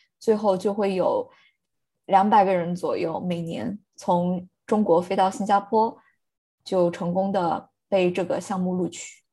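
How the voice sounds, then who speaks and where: A woman speaks at a fairly slow pace in a medium pitch, with fairly even intonation and a dark, mellow, somewhat breathy tone. The background is quiet. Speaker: podcast co-host. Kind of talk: casual chat.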